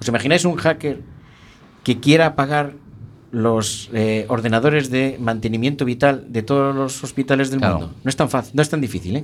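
Medium pitch and an ordinary speaking voice from a man, ordinary pitch variation, moderate pace. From Spain, rural inland Galicia. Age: 50s. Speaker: judge. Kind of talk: interview. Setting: radio studio, live broadcast.

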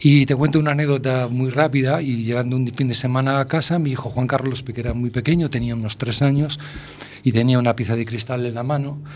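A man talks at a fairly quick pace with fairly even intonation and a medium pitch. Noticeable background noise sits behind him. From Spain, A Coruña (Galicia). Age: 60s. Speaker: food blogger and university lecturer. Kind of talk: radio interview. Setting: radio studio. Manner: halting, many fillers.

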